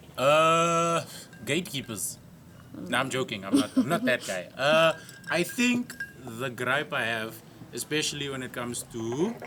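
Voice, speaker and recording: Amid noticeable background noise, a man with a South African accent speaks at a fairly slow pace with lively intonation and long, frequent pauses. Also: fairly high pitch for a man. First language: Afrikaans. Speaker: comedian. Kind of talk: casual chat. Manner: animated.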